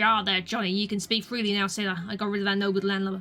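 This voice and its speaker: A gruff, put-on character voice at a middle pitch speaks very fast in a monotone, flat delivery. Faint music plays in the background. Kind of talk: nautical slang. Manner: gruff, muttering.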